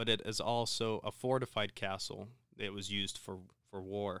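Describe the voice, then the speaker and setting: The recording is very clean with a silent background. A man speaks in a bright, sharp tone. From Ukraine (Vinnytsia). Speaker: former resident of Ukraine. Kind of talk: casual chat.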